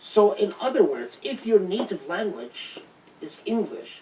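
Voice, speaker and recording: A man speaks with an Arabic accent, his pitch swinging very widely. Noticeable background noise runs underneath. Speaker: Islamic scholar and teacher. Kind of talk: lecture Q&A. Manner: halting, many false starts.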